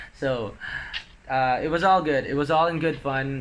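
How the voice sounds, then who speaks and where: Fairly even intonation from a male speaker, with audible room echo around him. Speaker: vlogger. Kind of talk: casual vlog talk.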